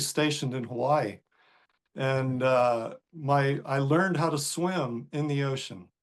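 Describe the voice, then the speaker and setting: A man with an American accent speaks in a normal speaking voice at a fairly high pitch. His pitch varies in an ordinary way over a quiet background. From US South, North Carolina coast. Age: 60s. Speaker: surfer and author. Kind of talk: podcast interview. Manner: casual, with many fillers.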